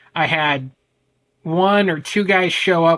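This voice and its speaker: A loud man with an American accent and fairly even intonation. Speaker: men's ADHD coach. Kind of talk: podcast interview.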